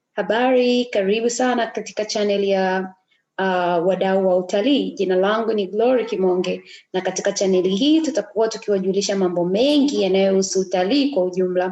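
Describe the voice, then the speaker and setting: Speaking fairly quickly in an East African accent, a woman with medium pitch has a dark, mellow tone, very even loudness and ordinary pitch variation. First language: Swahili. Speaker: tour operator. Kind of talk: reading aloud with translation. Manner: halting.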